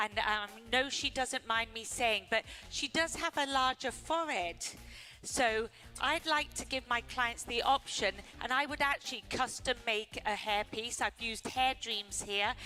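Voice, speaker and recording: Music plays in the background as a woman talks at a fairly slow pace in a fairly high voice with ordinary pitch variation. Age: 60s. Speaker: hair colorist. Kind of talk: live demo presentation.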